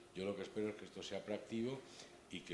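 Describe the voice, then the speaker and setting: The recording has noticeable background noise along with audible room echo. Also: man. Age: 60s. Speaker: bar association board member presenting a talk. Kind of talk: event introduction.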